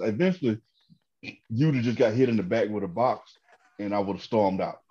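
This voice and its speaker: A man with a Southern US accent talks at a very fast pace in a dark, mellow tone with ordinary pitch variation against a quiet background. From Georgia, US South. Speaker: comedian. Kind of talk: casual chat. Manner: animated.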